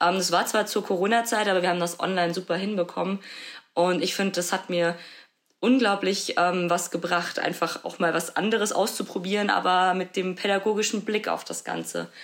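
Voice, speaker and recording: Speaking fairly quickly at a medium pitch, a woman keeps a monotone, flat intonation. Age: 20s. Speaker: social work student. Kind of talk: interview.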